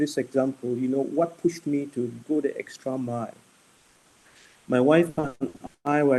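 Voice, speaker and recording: The speaker goes at a fairly slow pace with a dark, mellow tone and fairly even intonation. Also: man. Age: 60s. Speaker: medical doctor. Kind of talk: panel talk. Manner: passionate; halting, many repetitions.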